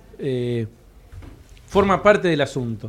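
Pitch swinging very widely, a man talks at a moderate pace. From Argentina, Patagonia (Cipolletti). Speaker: comedy producer. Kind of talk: panel discussion. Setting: stage with live audience.

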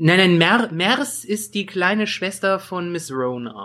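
A man's bright, sharp, high-pitched voice moves with lively intonation at a very slow pace. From Bergisches Land, Germany. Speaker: podcast co-host. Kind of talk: casual chat.

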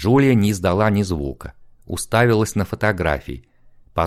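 The reading voice is unforced. Its pitch shifts in an ordinary way.

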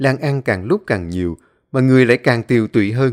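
Quiet background behind a natural reading voice

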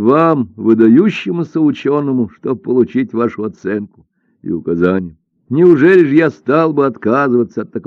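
An unforced reading voice moves with lively intonation while the background stays quiet.

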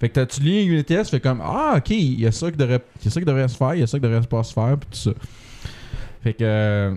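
With an unremarkable speaking voice, a man talks at a medium pitch, his pitch varying in an ordinary way. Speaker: software developer, podcast co-host. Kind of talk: casual chat.

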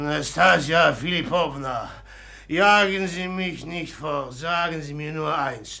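A put-on character voice from a man, bright and sharp in tone with vocal fry, ordinary pitch variation and a slow pace. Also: fairly high pitch for a man.

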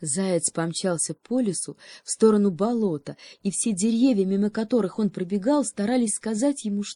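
Someone reads aloud plainly, the pitch moving in an ordinary way.

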